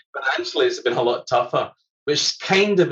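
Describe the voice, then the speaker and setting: A man is speaking. He has a Scottish accent. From Scotland. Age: middle-aged. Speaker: environmental scientist and musician. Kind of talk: casual chat. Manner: fast.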